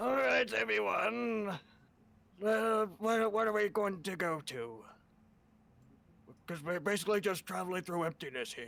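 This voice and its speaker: In a put-on character voice with a high pitch, a man speaks at a moderate pace with very wide pitch swings and long, frequent pauses. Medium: actual play. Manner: casual, chatty.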